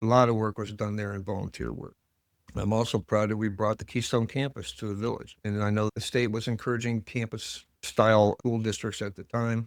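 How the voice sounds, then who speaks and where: In a Midwestern American accent, a man with a fairly low pitch talks at a fairly quick pace in a monotone, flat intonation, recorded very cleanly against a silent background with a dry, close sound and no echo. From US Midwest, northern Ohio (Lorain County). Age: 70s. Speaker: village mayor, retired teacher. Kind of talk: interview. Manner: conversational.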